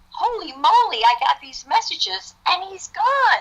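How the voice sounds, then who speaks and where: A woman speaks with an American accent at a moderate pace. Her voice is raised and projected. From New Jersey. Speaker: author. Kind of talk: testimony. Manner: animated.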